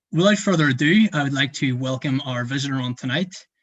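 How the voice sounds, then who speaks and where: A somewhat breathy man with a Northern Irish accent, fairly high pitch and ordinary pitch variation. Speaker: student event host. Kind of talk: live interview. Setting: livestream. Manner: hesitant, many fillers.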